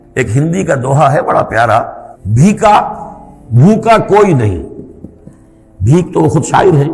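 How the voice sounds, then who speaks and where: Over noticeable background noise, a man with a fairly high voice makes very wide pitch swings while keeping his loudness very even. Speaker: Islamic scholar giving a religious lecture. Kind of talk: Islamic sermon (bayan), religious lecture.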